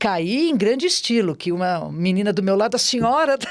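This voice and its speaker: With a normal speaking voice, a woman talks at a fairly slow pace with lively intonation on a very clean recording with a silent background. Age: 60s. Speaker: amateur marathon runner. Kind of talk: interview conversation. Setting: studio.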